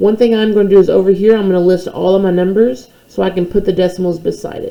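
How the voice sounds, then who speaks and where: With noticeable background noise behind her, a woman talks at a very fast pace and medium pitch, her intonation fairly even. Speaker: math teacher. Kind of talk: tutorial.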